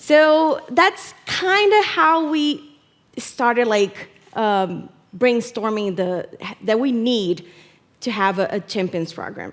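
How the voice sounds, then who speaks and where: A woman with a Brazilian Portuguese accent speaks very slowly at a high pitch. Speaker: community program manager. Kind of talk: conference talk. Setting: stage with audience. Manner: hesitant, many fillers.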